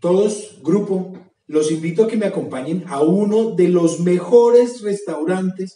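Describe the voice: A man talks at a fairly high pitch with a dark, mellow tone, and room echo can be heard.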